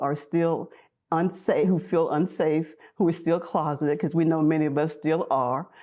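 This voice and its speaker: With an American accent, a woman speaks at a moderate pace in a very deep, low pitch and a dark, mellow tone against a quiet background. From US South, North Mississippi. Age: 70s. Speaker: activist and social worker. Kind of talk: interview.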